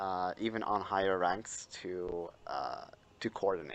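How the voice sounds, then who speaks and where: A man talks at a fairly slow pace. He has a non-native accent. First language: not English. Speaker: gaming YouTuber. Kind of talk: casual chat. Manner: hesitant, many fillers.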